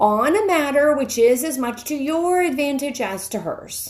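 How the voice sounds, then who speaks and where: A woman puts on a character voice with a high pitch. She keeps a moderate pace. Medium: read story. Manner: formal.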